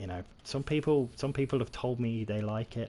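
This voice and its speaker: Heard here is a man with a British accent. His voice is somewhat breathy. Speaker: gaming streamer. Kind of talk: live gameplay commentary. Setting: livestream. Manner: casual, rambling with frequent fillers.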